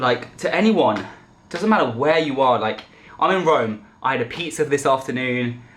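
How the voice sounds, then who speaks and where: The man's voice sits at a medium pitch. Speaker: vlogger. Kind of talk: vlog monologue. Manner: loud and passionate.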